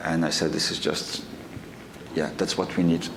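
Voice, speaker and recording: Very deep and low in pitch, a man speaks amid noticeable background noise. Audible room echo surrounds his voice. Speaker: association director, terror victim's relative. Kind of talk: panel testimony. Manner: halting, many fillers.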